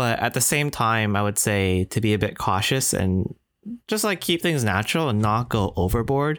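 A man with a Canadian accent talks at a moderate pace in a plain, everyday voice of medium pitch. His loudness stays very even on a very clean recording with a silent background. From Canada. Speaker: podcast co-host. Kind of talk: casual chat.

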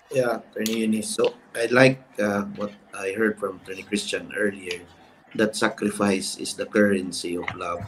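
Noticeable background noise sits behind a man with a Filipino accent. His pitch is fairly low, his intonation fairly even, and his pace moderate. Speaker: lawyer, bar association president. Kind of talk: panel discussion.

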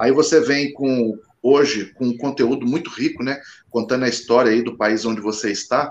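A man with medium pitch and an ordinary speaking voice talks at a moderate pace with fairly even intonation. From Guarujá, São Paulo state. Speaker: goalkeeper coach. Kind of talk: casual chat.

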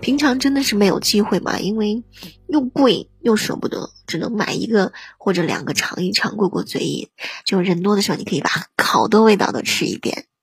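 Music plays in the background as a woman speaks at a moderate pace in a medium pitch, with an animated tone and lively intonation. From northern China. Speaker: livestream radio host. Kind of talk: casual livestream chat. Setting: live online broadcast.

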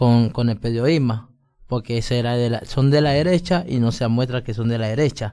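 Dark, mellow male voice, its pitch varying in an ordinary way. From Colombia. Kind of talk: casual chat.

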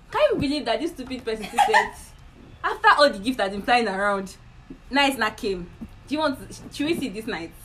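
Over noticeable background noise, a woman with a high pitch talks at a fairly quick pace with very wide pitch swings and long, frequent pauses. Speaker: podcast host. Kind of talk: casual chat.

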